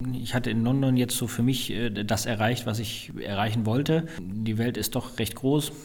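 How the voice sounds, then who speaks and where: Noticeable background noise accompanies a man speaking at a medium pitch and a moderate pace. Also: fairly even intonation. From northern Germany, Flensburg. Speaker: chef and hotelier. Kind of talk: interview.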